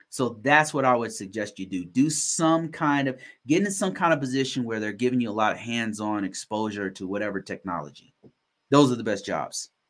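Over a very clean recording with a silent background, a man with a normal speaking voice and medium pitch talks at a fairly quick pace with lively intonation. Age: 40s. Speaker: cybersecurity podcast host. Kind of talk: casual livestream Q&A. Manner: casual, filler-heavy with repetitions.

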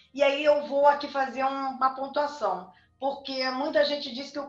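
At a moderate pace, the speech carries audible room echo and noticeable background noise. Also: woman. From southern Brazil, Rio Grande do Sul. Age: 50s. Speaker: tarot reader and occult teacher. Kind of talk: interview on a video chat.

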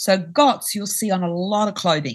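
A woman's medium-pitched voice with a bright, sharp tone, in an Australian accent, at a moderate pace. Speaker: company founder. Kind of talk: interview.

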